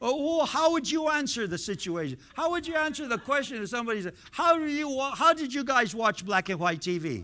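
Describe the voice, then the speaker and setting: Raised and projected, a man's extremely high-pitched voice has a bright, sharp tone, very wide pitch swings, and a fairly quick pace with hardly any pauses. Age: 70s. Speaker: pastor. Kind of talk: sermon. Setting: church. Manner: conversational, interacts with congregation.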